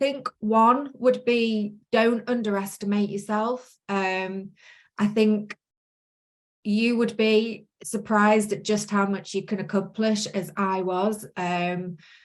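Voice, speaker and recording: A woman with a Manchester accent talks at a very slow pace. Her pitch is fairly high and her intonation fairly even. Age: 40s. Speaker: course participant, self-employed virtual assistant. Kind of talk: interview testimony. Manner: hesitant, many fillers.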